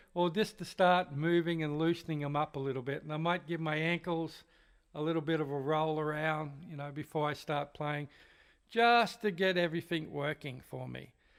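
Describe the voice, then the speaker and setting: This is a man with a plain, everyday voice, fairly high in pitch with fairly even intonation. His moderate pace comes through in a very clean recording with a silent background. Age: 60s. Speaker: drum teacher. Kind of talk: tutorial. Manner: casual, conversational.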